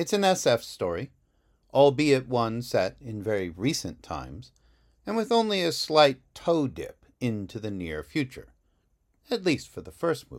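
A man's medium-pitched voice in a dramatic tone, fairly slow, with very wide pitch swings and big swings in loudness, on a very clean recording with a silent background. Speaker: author and podcaster. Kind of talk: literary audiobook reading of a blurb, measured and polished. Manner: deliberate, measured, dramatic pacing with pauses.

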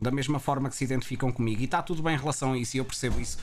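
A man of medium pitch with a European Portuguese accent. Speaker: Twitch streamer and podcast host. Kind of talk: casual chat. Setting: live stream.

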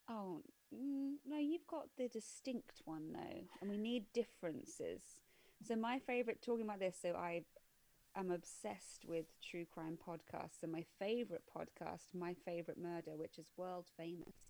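A woman speaks with an English accent in a dark, mellow tone. Her pitch swings very widely. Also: medium pitch for a woman, moderate pace. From England. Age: 30s. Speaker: film podcast co-host. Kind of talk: casual chat. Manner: animated.

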